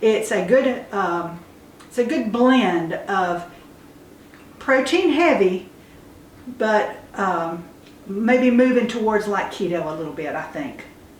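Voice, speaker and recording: A woman with a fairly high pitch speaks at a very slow pace, her lively intonation paired with big swings in loudness, long and frequent pauses, and audible room echo. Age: 70s. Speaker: homesteader. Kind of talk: casual chat. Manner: halting.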